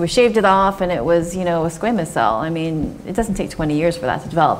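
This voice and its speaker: The speaker talks at a fairly quick pace with an American accent and lively intonation. Noticeable background noise is present. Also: woman. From Southern California. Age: 40s. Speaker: dermatologist. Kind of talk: Q&A after a medical talk.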